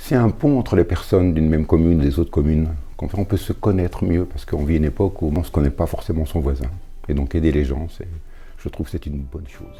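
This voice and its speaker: A man with a very deep, low voice rattles along very fast, his pitch varying in an ordinary way, while noticeable background noise plays. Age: 70s. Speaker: retired volunteer handyman. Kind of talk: interview testimony.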